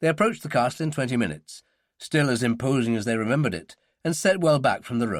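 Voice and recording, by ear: A reading aloud in a natural voice, with ordinary pitch variation over a quiet background.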